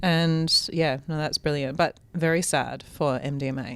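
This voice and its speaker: A woman with an Australian accent speaks in a very deep, low voice. Her pace is fairly slow and her intonation fairly even. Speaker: health practitioner, podcast panelist. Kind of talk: casual chat.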